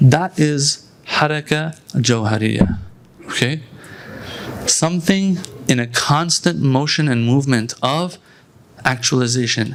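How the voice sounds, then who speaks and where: A man's fairly high voice with ordinary pitch variation, a plain, everyday voice. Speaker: Islamic scholar. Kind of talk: religious lecture. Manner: conversational.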